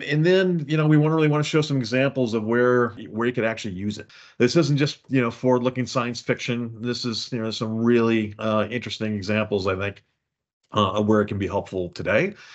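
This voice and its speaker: A man with a Chicago accent, medium in pitch, at a fairly quick pace with ordinary pitch variation. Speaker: software consultancy executive. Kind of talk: webinar presentation. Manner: hesitant, many fillers.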